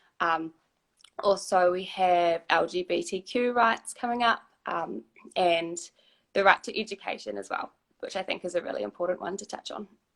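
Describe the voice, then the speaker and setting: A woman with a New Zealand accent, medium pitch, ordinary pitch variation and a moderate pace. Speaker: human rights lawyer. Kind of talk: casual panel discussion.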